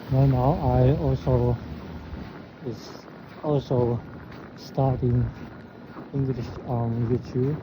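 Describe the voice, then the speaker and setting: A man speaks at a medium pitch, very slowly, in a flat monotone with long, frequent pauses. Background noise is noticeable. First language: Chinese. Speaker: vlogger. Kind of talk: casual vlog talk. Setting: outdoors. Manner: halting.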